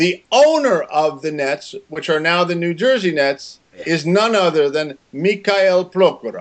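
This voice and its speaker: Pitched high, a man talks at a fairly slow pace with ordinary pitch variation and hardly any pauses. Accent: American. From Maryland, US. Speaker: interview guest. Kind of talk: casual interview. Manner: slow and simple, for a learner.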